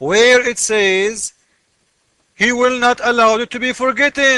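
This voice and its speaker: A man's raised, projected voice sits at an extremely high pitch, with a bright, sharp tone. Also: fairly slow pace. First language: not English. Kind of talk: screen-share commentary. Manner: animated.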